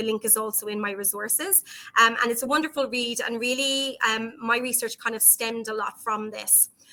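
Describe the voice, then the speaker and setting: A woman with an Irish accent, a bright, sharp tone, fairly even intonation and a fairly quick pace. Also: fairly high pitch for a woman. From Ireland. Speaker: psychology professor and researcher. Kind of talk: conference presentation. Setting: online virtual conference.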